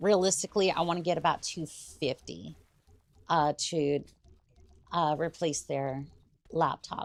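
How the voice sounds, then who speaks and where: Pausing long and often, a woman speaks in a very deep, low voice with vocal fry and fairly even intonation, in a dry, close sound with no echo. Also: fairly slow pace. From Britain. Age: 20s. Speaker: vtuber streamer. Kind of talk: casual gaming livestream chat. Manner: halting, many fillers.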